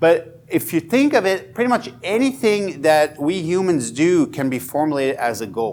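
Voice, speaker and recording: A man speaks in a high voice with very wide pitch swings and hardly any pauses. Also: moderate pace. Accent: Swiss. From Switzerland, Fribourg (bilingual German/French). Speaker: education professor. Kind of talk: workshop lecture.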